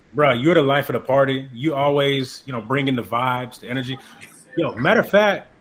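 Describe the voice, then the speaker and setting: A man keeps up a fairly quick pace, with noticeable background noise around him. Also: medium pitch for a man, ordinary pitch variation. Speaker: podcast host. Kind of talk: casual interview conversation. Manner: upbeat.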